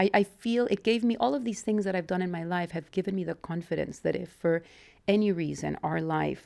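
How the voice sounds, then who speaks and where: A woman with a Mexican accent speaks at a moderate pace in a dark, mellow tone, with ordinary pitch variation. The recording is very clean, with a silent background. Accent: mild Mexican Spanish. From Mexico. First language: Spanish. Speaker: interviewee, wife of channel owner. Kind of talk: interview, personal life story.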